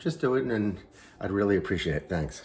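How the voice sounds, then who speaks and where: Quiet and fairly low in pitch, a man speaks. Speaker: home cooking channel host. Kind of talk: cooking tutorial. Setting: home kitchen, early morning. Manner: speaking low and quiet; halting, many fillers.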